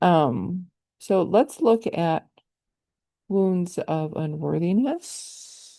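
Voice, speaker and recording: A woman speaks very slowly with long, frequent pauses, her fairly low voice dark and mellow in tone yet lively in intonation. The background is quiet. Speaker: energy healer. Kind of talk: guided healing session. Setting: live group call. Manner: halting, many fillers.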